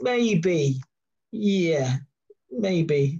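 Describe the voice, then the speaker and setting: A man's dark, mellow voice, fairly high in pitch. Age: 50s. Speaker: dog trainer. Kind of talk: casual chat.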